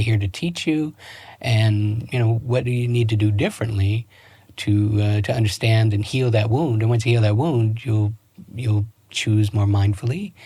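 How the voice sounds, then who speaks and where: An American accent comes through in a somewhat breathy voice at a moderate pace. Intonation is fairly even, and the recording is very clean with a silent background. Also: man. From US East Coast, Baltimore, Maryland. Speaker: relationship coach. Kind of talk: podcast interview. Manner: halting, many self-corrections.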